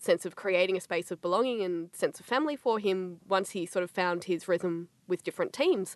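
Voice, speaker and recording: Someone with an Australian accent talks at a moderate pace with ordinary pitch variation. The sound is dry and close with no echo, and the background is quiet. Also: woman. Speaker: film writer and academic co-host. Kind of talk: casual panel discussion. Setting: studio.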